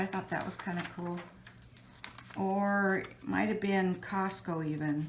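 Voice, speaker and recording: Her voice sits at a medium pitch with ordinary pitch variation, delivered at a moderate pace. Noticeable background noise and audible room echo surround the woman. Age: 60s. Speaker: mixed media artist. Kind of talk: tutorial. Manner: casual, hesitant with fillers.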